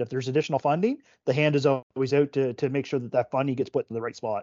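A man talks very fast at a medium pitch, keeping his intonation fairly even. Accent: Nova Scotian. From Nova Scotia, Canada (Oxford, Cumberland County). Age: 40s. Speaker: provincial politician and retired fire chief. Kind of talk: casual interview. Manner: halting, many fillers.

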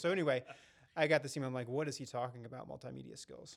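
Over a silent background in a very clean recording, a man speaks at a fairly high pitch. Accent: American. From North Carolina. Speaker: podcast co-host. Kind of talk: casual chat.

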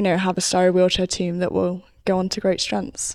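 A woman's medium-pitched voice in monotone, flat intonation, on a very clean recording with a silent background. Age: young. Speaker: wheelchair cricket player. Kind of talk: casual chat.

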